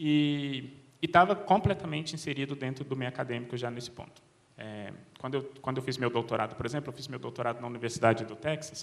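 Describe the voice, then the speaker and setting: This man speaks at a very fast pace. His pitch sits in the medium range. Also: ordinary pitch variation. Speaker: cognitive scientist at a tech company. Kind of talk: panel talk. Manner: hesitant, repeats words.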